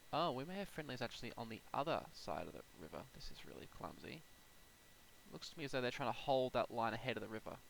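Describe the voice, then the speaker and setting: Talking at a very fast pace, a man uses lively intonation, vocal fry and big swings in loudness. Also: medium pitch for a man. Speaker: flight sim gameplay youtuber. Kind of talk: gameplay commentary. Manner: casual.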